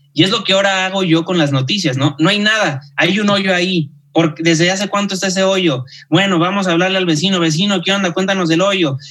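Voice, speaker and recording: A man with a high pitch and a bright, sharp tone speaks at a fairly quick pace. His intonation is fairly even and his loudness very even. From Mexico, Guadalajara. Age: 30s. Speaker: journalist and TV news anchor. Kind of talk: casual interview chat.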